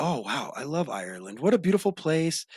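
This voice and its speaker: A man with an American accent talks at a moderate pace in an animated tone. The sound is dry and close, with no echo. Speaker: podcast host. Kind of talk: casual chat.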